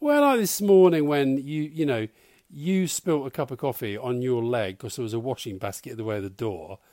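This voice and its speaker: Fairly quick and lively, a man with a southern English accent talks at a medium pitch in a dark, mellow tone on a very clean recording with a silent background. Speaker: former government adviser. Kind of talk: casual chat. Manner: soft-spoken.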